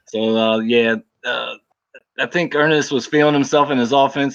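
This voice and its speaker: Here a man with a normal speaking voice talks at a moderate pace with fairly even intonation. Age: 40s. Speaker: football game league player, fellow podcaster. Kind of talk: casual chat.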